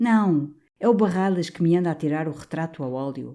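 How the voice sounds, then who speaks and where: Mumbling in a put-on character voice, a woman with fairly low pitch talks at a moderate pace in a very clean recording with a silent background. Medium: read story. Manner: timid, mumbling.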